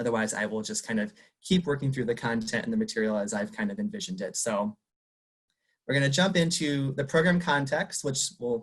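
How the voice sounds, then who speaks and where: Speaking fairly quickly with an American accent, a man has a medium pitch, lively intonation and a somewhat breathy quality. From Arizona, Tucson. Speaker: university career development professional. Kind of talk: conference presentation. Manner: fast; animated.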